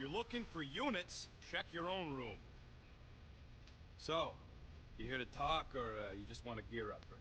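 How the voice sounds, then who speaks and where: A man puts on a gruff character voice at a moderate pace, with long, frequent pauses. Clear background noise runs under the recording. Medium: video game. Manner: gruff, sarcastic, slangy.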